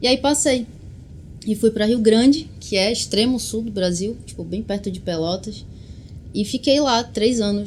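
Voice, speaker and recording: This is a normal speaking voice, moving at a fairly slow pace with ordinary pitch variation. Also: woman. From Brazil, Belém, Pará. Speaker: musician. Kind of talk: interview. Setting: studio.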